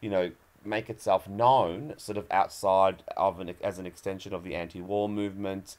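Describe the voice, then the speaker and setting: Here is a man with a normal speaking voice, at a fairly low pitch. He keeps a moderate pace and fairly even intonation. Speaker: guest. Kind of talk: interview answer.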